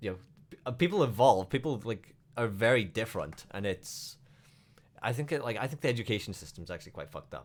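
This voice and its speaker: A man with a Welsh accent at medium pitch, very fast pace, lively intonation and big swings in loudness. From Wales. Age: 30s. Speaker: streamer. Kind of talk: casual chat.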